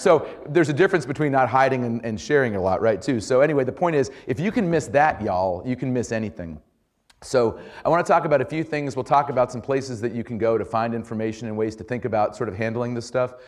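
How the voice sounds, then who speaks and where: Lively in intonation, a man at medium pitch talks at a very fast pace over a quiet background. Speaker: journalism trainer and former political reporter. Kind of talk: workshop talk. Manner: casual, halting with repetitions.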